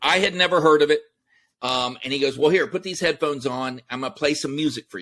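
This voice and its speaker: A very fast American-accented man with a fairly high pitch, a bright, sharp tone, ordinary pitch variation and big swings in loudness, on a very clean recording with a silent background. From Texas. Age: 50s. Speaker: entrepreneur, army veteran. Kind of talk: interview.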